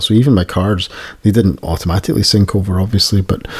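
In a Scottish accent, a man speaks with a fairly low pitch and a dark, mellow, somewhat breathy tone. The recording is very clean, with a silent background. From Scotland. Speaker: podcast host. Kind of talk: casual chat.

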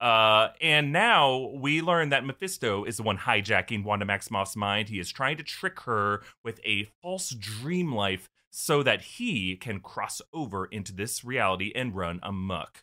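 Using an ordinary speaking voice, a man of medium pitch talks at a fairly slow pace with lively intonation and hardly any pauses. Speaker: panelist presenting a theory. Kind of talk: casual comedic panel chat.

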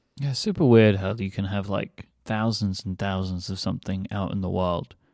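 A dark, mellow tone in a British accent, at a moderate pace with fairly even intonation, on a very clean recording with a silent background. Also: man. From UK. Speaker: podcast host. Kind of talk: casual chat.

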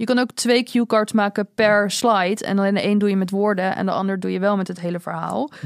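A woman's normal speaking voice at medium pitch, fairly quick with hardly any pauses, fairly even intonation. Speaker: podcast host. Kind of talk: casual chat.

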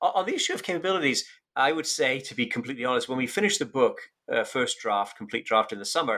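This very clean recording with a silent background captures a man's voice. He speaks at a very fast pace with a British accent. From UK. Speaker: economics professor and author. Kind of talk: interview.

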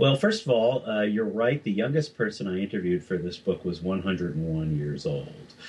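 A man's voice with ordinary pitch variation comes through noticeable background noise. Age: 40s. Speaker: author and journalist. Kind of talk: interview.

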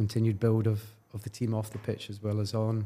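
A man's medium-pitched voice in a Glaswegian accent, dark and mellow in tone, at a moderate pace. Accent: Glaswegian Scottish. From Scotland, Glasgow. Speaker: football club commercial executive. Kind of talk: interview.

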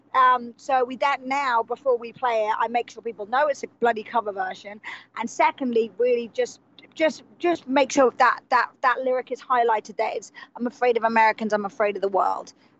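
In an English accent, a woman speaks at a high pitch and a fairly quick pace with fairly even intonation. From England. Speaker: musician. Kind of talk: casual chat.

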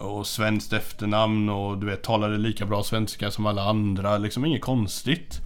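There is audible room echo as a man speaks at a moderate pace with hardly any pauses. His pitch is fairly low and his intonation fairly even. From western Sweden (Hindås, near Gothenburg). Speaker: teacher and death metal musician. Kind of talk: casual chat.

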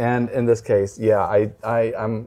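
A man speaks. He has a Texan accent. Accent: Texan American. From Texas. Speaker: tour guide and podcaster. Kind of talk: casual chat, interview. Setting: hotel room, late night.

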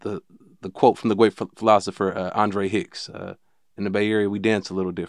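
A man with an American accent, very fast delivery and fairly low pitch, in a dry, close recording with no echo. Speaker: podcast host. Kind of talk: casual interview.

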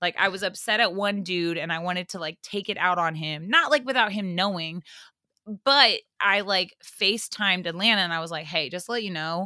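The tone is bright, sharp, and animated at a fairly quick pace. The recording is very clean, with a silent background. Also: woman, medium pitch for a woman, ordinary pitch variation. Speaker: podcast guest. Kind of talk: casual chat.

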